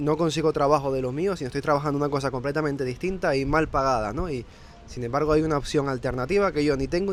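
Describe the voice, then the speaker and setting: Very fast speech in a Canarian accent, with ordinary pitch variation. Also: man. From Canary Islands, Fuerteventura. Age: 20s. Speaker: remote sales closer. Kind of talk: interview.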